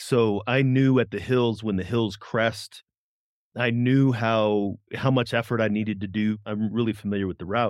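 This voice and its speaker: In a quiet background, a man with a plain, everyday voice speaks at a moderate pace, his medium pitch carried by fairly even intonation. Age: 40s. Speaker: podcast host and first-time marathon trainee. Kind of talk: casual chat.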